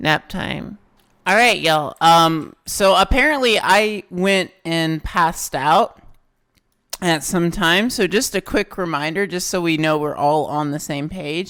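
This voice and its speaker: In a very clean recording with a silent background, a woman speaks fairly slowly at a fairly low pitch with ordinary pitch variation. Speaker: gaming YouTuber. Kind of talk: casual gameplay commentary. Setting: home recording, closed room. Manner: loud.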